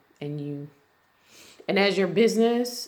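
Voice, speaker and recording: At a fairly slow pace, a woman speaks with lively intonation. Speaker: insurance and risk management consultant. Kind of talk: tutorial. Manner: halting, stumbling.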